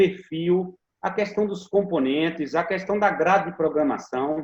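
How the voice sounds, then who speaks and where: A man's high-pitched voice, with ordinary pitch variation, moves along at a moderate pace. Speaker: teacher and school radio educator. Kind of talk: interview answer.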